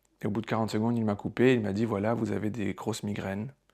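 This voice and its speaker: Monotone, flat intonation from a man with a fairly low pitch. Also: very clean recording, silent background. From southern France, Marseille. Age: 40s. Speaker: theatre director. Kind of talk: personal testimony. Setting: at home. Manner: hesitant, many filler sounds.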